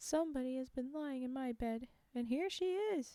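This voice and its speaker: Using a put-on character voice, a woman speaks at a high pitch. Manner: indignant.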